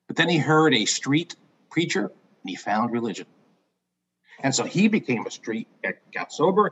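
A man's voice, marked by vocal fry, swings very widely in pitch and breaks into long, frequent pauses. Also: fairly high pitch for a man, moderate pace. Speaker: guest. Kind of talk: storytelling. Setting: video call.

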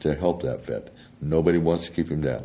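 Audible room echo surrounds a man with an American accent and a very deep, low pitch. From US West, Colorado. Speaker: war veteran. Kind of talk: interview. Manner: halting, many repeated words.

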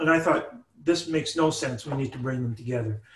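This somewhat breathy voice carries a Canadian accent and ordinary pitch variation. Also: man. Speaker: professor. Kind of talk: interview.

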